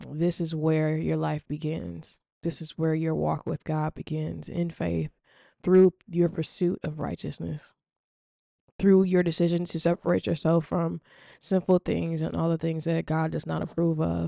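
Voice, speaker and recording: A woman speaks at a fairly slow pace against a quiet background, the sound dry and close with no echo. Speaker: podcast host. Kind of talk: prayer and devotional talk. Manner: informal, hesitant with fillers.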